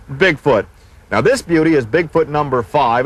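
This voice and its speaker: A man's normal speaking voice, fairly high in pitch, at a moderate pace. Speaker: TV host. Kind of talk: home video host narration. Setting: outdoors. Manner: upbeat.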